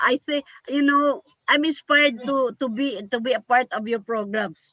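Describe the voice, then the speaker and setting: Speaking with a Filipino accent, a woman uses a raised, projected voice, high in pitch with ordinary variation, at a moderate pace in a dry, close sound with no echo. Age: 60s. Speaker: community organizer. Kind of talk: panel talk.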